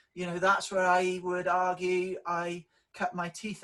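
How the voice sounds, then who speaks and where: A man speaks with a high pitch and a strong Welsh accent. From South Wales valleys, near Merthyr Tydfil. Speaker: public sector leadership director. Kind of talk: interview. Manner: hesitant, many fillers.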